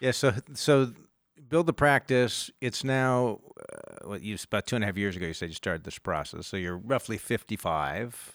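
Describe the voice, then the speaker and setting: An unremarkable speaking voice from a man at medium pitch, moving at a moderate pace with lively intonation. The very clean recording has a silent background and a dry, close sound with no echo. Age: 50s. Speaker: podcast host, firm partner. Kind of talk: interview.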